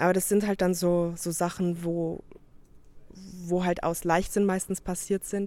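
A woman's medium-pitched, dark, mellow voice in a monotone, flat intonation at a fairly slow pace. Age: 20s. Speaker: competitive powerlifter. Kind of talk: interview.

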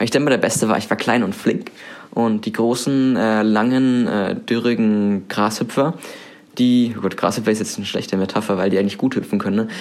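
Speaking at a very fast pace, a man holds a medium pitch. His intonation stays fairly even. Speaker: student radio host. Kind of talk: casual chat. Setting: student room.

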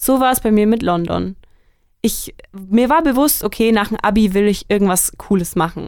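This woman has a fairly high pitch and ordinary pitch variation. She talks at a moderate pace in a normal speaking voice. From Germany, Franconia near Nuremberg. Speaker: student podcast co-host. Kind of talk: casual chat.

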